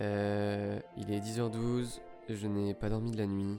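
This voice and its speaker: A man's voice over background music. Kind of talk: literary reading of a love letter, spoken to himself.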